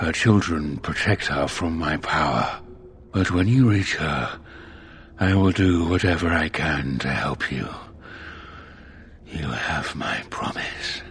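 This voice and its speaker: A man puts on a character voice, very deep and low, speaking at a fairly slow pace with long, frequent pauses. Background noise is clearly audible. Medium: machinima. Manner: measured, formal, calm.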